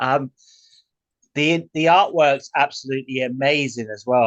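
A man at medium pitch and moderate pace, in a British accent. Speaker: podcast host. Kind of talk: interview. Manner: enthusiastic.

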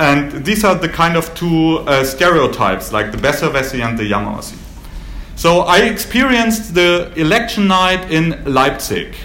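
Fairly high male voice with a German accent and very wide pitch swings, over noticeable background noise. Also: moderate pace. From Germany, Baden-Württemberg. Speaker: historian giving a talk. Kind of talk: lecture. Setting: stage with audience.

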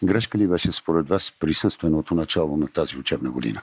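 With a dry, close sound and no echo, a man speaks at a fairly quick pace in a very deep, low pitch with ordinary pitch variation. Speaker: podcast host. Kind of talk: podcast interview. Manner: formal.

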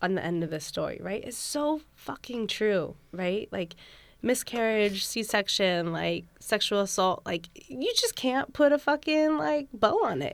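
A woman with a Californian accent speaks at a fairly slow pace and fairly high pitch, her voice making very wide pitch swings on a very clean recording with a silent background. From US West Coast, San Francisco. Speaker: doula. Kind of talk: casual chat.

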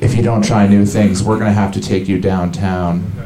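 Noticeable background noise sits behind the voice. The delivery is monotone and flat, at a moderate pace. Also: man. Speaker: comedian. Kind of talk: stand-up. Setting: stage with audience at a pub.

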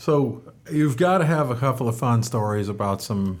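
He has an unremarkable speaking voice. The man talks at a fairly slow pace with ordinary pitch variation. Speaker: podcast host. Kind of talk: casual interview.

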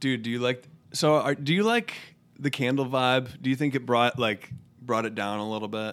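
A man speaks at a moderate pace with a medium pitch and ordinary pitch variation. It is an unremarkable speaking voice. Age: 30s. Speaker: podcast co-host. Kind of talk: casual chat.

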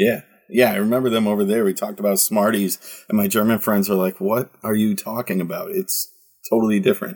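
Talking at a very fast pace, a man speaks with a Midwestern US accent. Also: medium pitch for a man, ordinary pitch variation. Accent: US Midwest. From Michigan, Detroit. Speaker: soccer podcast host. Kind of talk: casual chat.

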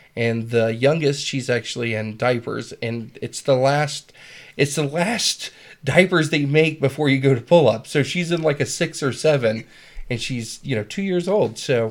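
A man with a plain, everyday voice speaks at a moderate pace and a fairly high pitch. The recording is very clean, the background silent. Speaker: podcast host. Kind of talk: casual chat.

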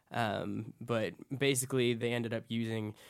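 A man at a moderate pace, monotone and flat in intonation. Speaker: podcast co-host.

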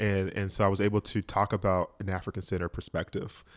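An ordinary speaking voice in an American accent at a moderate pace, with a very clean recording and a silent background. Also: man. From US South, rural south Georgia. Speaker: psychologist. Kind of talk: casual interview.

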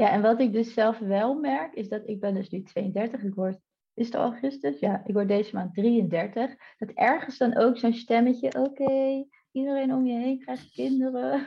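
In a normal speaking voice, the speaker talks at a moderate pace with lively intonation. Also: woman, fairly high pitch for a woman. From Netherlands, Delft. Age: 30s. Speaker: online entrepreneur. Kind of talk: podcast interview.

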